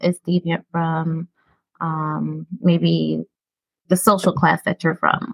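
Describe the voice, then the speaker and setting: Her speech moves at a very slow pace. The woman has an American accent. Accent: Brooklyn New York, watered down. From Brooklyn, New York. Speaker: podcast host discussing mental health. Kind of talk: educational casual conversation.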